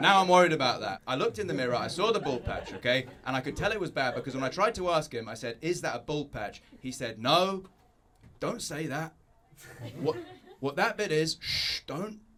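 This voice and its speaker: Very wide pitch swings at a fairly quick pace, with noticeable background noise. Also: man, fairly high pitch for a man. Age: 30s. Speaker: stand-up comedian. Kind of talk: stand-up. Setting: stage with audience.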